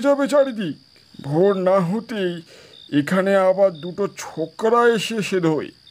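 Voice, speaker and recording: A put-on character voice from a man, delivered at a very slow pace. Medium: audio drama. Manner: garrulous, rambling.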